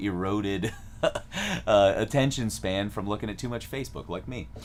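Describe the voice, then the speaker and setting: With an American accent, a man talks at a moderate pace in a fairly low pitch, his intonation lively and his voice showing vocal fry. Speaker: music teacher. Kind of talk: live stream tutorial. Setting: live stream. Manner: casual, with many fillers.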